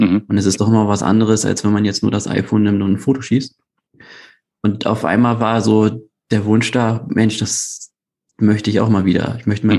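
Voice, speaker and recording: At a fairly quick pace, a man speaks in a fairly low pitch with a dark, mellow tone. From Hamburg, northern Germany. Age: 30s. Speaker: hobby photographer. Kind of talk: casual chat. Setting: video call.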